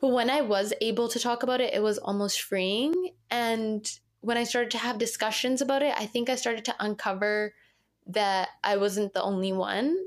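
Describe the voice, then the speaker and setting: On a very clean recording with a silent background, a woman in a Canadian accent uses a normal speaking voice at a fairly high pitch, moving at a moderate pace with ordinary pitch variation and very even loudness. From Canada. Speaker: model. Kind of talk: interview.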